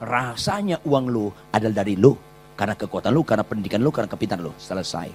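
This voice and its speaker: Speaking at a very fast pace, a man sounds animated, with ordinary pitch variation. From Batak, North Sumatra, Indonesia. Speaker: pastor. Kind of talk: sermon. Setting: church.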